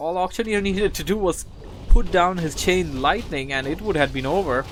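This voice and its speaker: Speech comes at a fairly quick pace with ordinary pitch variation over noticeable background noise. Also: man. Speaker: esports game commentator (shoutcaster). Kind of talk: live game commentary, energetic casting.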